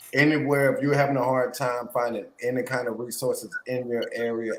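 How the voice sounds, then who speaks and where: Using a normal speaking voice, a man with an American accent talks at medium pitch. His pace is moderate and his intonation fairly even. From Florida, Pensacola. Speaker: mental health advocate. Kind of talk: casual chat.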